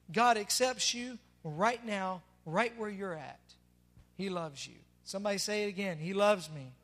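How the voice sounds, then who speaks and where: Speaking at a moderate pace with a Southern US accent, a man with a high pitch shows ordinary pitch variation, big swings in loudness, and long, frequent pauses. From Tennessee. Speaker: pastor. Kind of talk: sermon. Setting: church.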